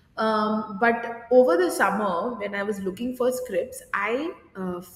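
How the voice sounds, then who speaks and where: Speaking very slowly, a woman uses a fairly high pitch with ordinary pitch variation, and audible room echo surrounds her voice. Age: 30s. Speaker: drama teacher; podcast guest, drama teacher. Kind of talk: casual interview. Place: studio.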